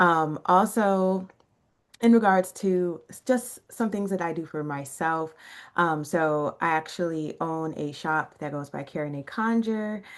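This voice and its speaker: A woman speaks with a normal speaking voice in an American accent, fairly low in pitch and at a fairly slow pace. Her loudness swings widely. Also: ordinary pitch variation. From Chicago, South Side. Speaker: rootworker and shop owner. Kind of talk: casual podcast self-introduction.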